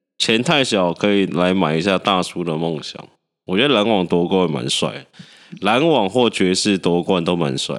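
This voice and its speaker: In a very clean recording with a silent background, a man with a husky, very deep, low voice talks at a moderate pace with lively intonation. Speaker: podcast co-host. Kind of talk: casual chat.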